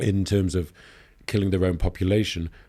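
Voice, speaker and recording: Over a silent background in a very clean recording, a man with a Yorkshire accent speaks in a very deep, low voice with a dark, mellow tone. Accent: Northern English (Yorkshire). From Leeds, England. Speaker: news editor, journalist. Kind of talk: podcast interview answer.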